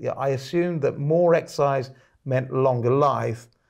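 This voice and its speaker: Against a quiet background, a man with a fairly high pitch speaks at a moderate pace and fairly even intonation. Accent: British. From UK. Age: 50s. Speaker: podcast host and author; podcast host. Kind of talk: casual interview. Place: studio.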